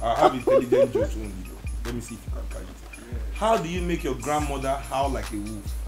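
With clear music in the background, a man speaks at a fairly quick pace. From Nigeria. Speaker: musician. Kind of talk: interview answer. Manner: joking, playful. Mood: playful, joking. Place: home room.

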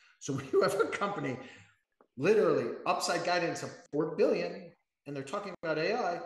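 A man at a moderate pace, with a quiet background and audible room echo. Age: 50s. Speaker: professional trader; guest. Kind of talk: casual interview. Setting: live video stream. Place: office. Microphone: webcam.

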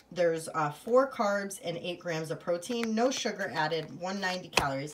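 Someone talks fairly slowly, with noticeable noise in the background. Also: woman. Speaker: haul vlogger. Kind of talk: casual vlog chat. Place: kitchen. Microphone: phone near.

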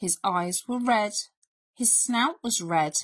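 The background stays quiet. The voice is a natural reading voice.

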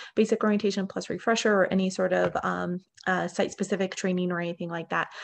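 A woman talks very fast in a monotone, flat delivery over light background noise. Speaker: refinery and mining training manager. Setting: working from home, video call. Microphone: video call.

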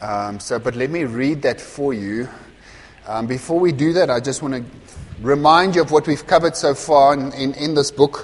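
Pitch varies in an ordinary way as a man talks at a moderate speed. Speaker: pastor. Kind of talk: sermon. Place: church. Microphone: lapel.

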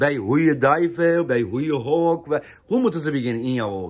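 The pitch of this man's voice swings very widely. Behind him, all is quiet. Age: 50s. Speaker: pigeon fancier vlogger. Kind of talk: casual vlog narration. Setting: outdoors on a rooftop loft. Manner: animated. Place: home room.

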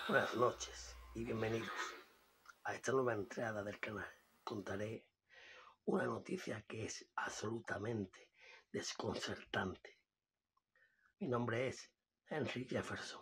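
A man puts on a raspy character voice at a medium pitch, speaking fairly slowly with long, frequent pauses. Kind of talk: video channel presenter. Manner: solemn, hesitant, warning.

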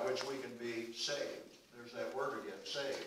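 A man talks at a moderate pace, with audible room echo and light background noise around him. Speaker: pastor. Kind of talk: sermon. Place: church.

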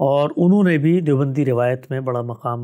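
Over a quiet background, a man with a fairly high pitch and a dark, mellow tone talks at a fairly slow pace with ordinary pitch variation. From Pakistan, Karachi; Pakistan. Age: young. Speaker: Islamic scholar; guest. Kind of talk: life-story interview. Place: studio.

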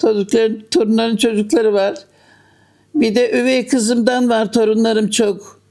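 The woman's tone is dark and mellow. She keeps a moderate pace and fairly even intonation. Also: fairly high pitch for a woman, very even loudness. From Bozüyük, Eskişehir, Turkey. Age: 80s+. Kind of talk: interview answer.

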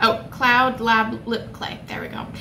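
Noticeable background noise behind a woman talking. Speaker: beauty vlogger. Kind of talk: casual vlog chat. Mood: cheerful, chatty. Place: home room. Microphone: phone near.

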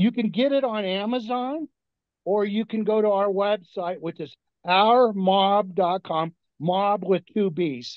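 A man speaks at a very slow pace in a dry sound with no echo, over a quiet background. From Italian-American. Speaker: cookbook author, former mobster; guest. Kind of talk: interview. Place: home room. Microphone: video call.

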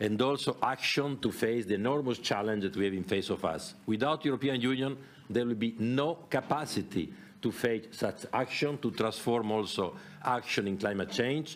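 At a moderate pace, a man speaks with ordinary pitch variation and very even loudness. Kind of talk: press conference statement. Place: hall. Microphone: podium.

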